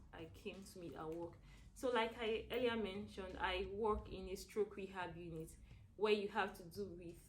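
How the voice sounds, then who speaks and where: Speaking with vocal fry at a medium pitch, a woman keeps her intonation fairly even while her loudness swings widely, with audible room echo around her. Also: moderate pace. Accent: Nigerian. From Nigeria. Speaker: stroke rehab nurse. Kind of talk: interview. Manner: hesitant, many fillers.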